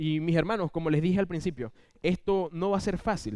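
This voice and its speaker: At a fairly quick pace, a man with a Venezuelan accent talks in a high voice, recorded very cleanly against a silent background. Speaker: lay preacher. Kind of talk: sermon. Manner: fast.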